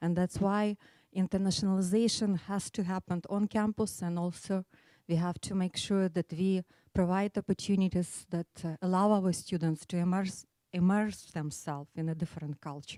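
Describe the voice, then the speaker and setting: A woman with an Eastern European accent speaks at a moderate pace in a medium pitch, with a dark, mellow tone and fairly even intonation. The recording is very clean, with a silent background and a dry, close sound with no echo. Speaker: business school study abroad coordinator. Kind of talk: short presentation.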